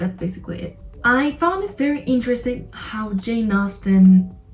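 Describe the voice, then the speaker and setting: A woman with a non-native accent at a fairly slow pace, amid noticeable background noise. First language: not English. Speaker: book reviewer vlogger. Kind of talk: casual video review.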